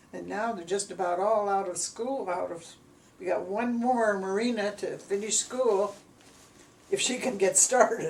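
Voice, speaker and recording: A woman at medium pitch with an American accent, talking at a fairly slow pace amid noticeable background noise. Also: fairly even intonation. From US Midwest, Gary, Indiana. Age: 90s. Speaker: elderly mother recounting her life. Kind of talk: family oral history interview. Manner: halting.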